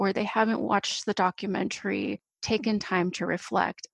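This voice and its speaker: Here a woman speaks in an unremarkable speaking voice at a medium pitch and moderate pace. Her pitch varies in an ordinary way, and the sound is dry and close with no echo. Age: 30s. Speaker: adult learning and mindfulness educator. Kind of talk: casual chat.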